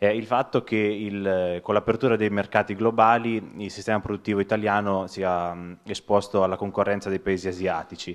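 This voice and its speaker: A man at a moderate pace, flat and monotone, over a quiet background. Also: fairly low pitch for a man. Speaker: audience member asking a question; audience member. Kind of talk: audience question. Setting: lecture hall with audience. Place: hall. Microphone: handheld.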